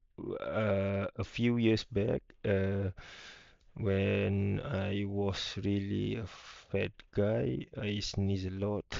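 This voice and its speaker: At a very slow pace, a man talks with a fairly low pitch and fairly even intonation. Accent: Malaysian. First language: Malay. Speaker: YouTuber. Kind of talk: casual vlog rant. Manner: halting, many fillers.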